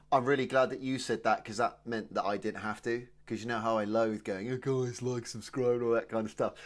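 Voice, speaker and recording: On a very clean recording with a silent background, a man talks at a fairly quick pace with hardly any pauses. His pitch is medium and he has a southern English accent. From England, Oxfordshire (Kidlington). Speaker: comedy podcast co-host. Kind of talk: casual chat. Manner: animated.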